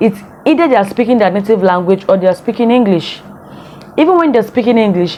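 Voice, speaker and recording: Someone speaks with a Nigerian accent against noticeable background noise. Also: woman. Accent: Nigerian Igbo English. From Nigeria, Igbo from Imo State. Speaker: vlogger. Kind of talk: casual vlog commentary.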